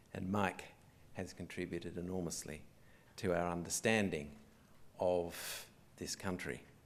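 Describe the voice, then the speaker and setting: With a slight English accent, a man speaks in a very deep, low pitch and fairly even intonation. His pace is fairly slow, with long, frequent pauses and audible room echo. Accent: slight English accent retained. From Australia, arrived from England at age six. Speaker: museum director. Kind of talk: opening speech. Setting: theatre with live audience. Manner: formal.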